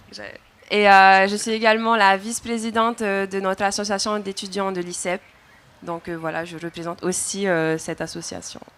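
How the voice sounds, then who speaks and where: Fairly even intonation at a moderate pace, with big swings in loudness and noticeable background noise. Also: woman, medium pitch for a woman. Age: 20s. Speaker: student and content creator. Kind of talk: panel discussion.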